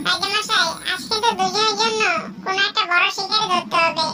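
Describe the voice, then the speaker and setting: Against noticeable background noise, a cartoonish character voice speaks at a moderate pace. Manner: wheedling, deferential.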